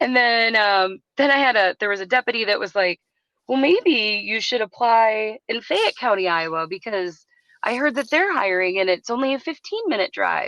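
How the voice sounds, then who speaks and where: With a bright, sharp tone and lively intonation, a woman with an American accent speaks at a fairly high pitch in a dry, close sound with no echo. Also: moderate pace. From US Upper Midwest (southeast Minnesota). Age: 40s. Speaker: retired emergency dispatcher. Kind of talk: casual podcast interview. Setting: remote call. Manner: animated, filler-heavy.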